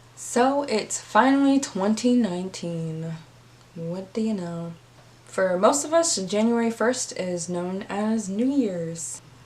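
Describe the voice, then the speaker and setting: A woman talks at a very slow pace with lively intonation and medium pitch. Noticeable background noise is present. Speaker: history storyteller. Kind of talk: casual educational talk to camera. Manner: casual, conversational.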